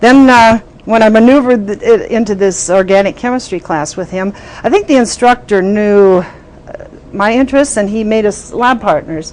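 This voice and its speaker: A woman's fairly high pitch with ordinary pitch variation, in an Upper Midwest accent at a moderate pace, with noticeable background noise. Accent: Upper Midwest American. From southern Minnesota. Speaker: health physicist, former society president. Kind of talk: oral history interview. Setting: recorded interview at annual meeting. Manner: hesitant with fillers.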